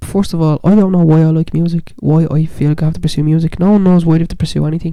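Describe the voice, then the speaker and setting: This voice moves at a very fast pace with fairly even intonation. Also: woman. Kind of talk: casual podcast chat about the paranormal. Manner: soft-spoken, relaxed.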